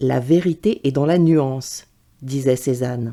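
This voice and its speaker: The voice has a dark, mellow tone and ordinary pitch variation, captured on a very clean recording with a silent background. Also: woman. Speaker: voice reader. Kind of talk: essay reading.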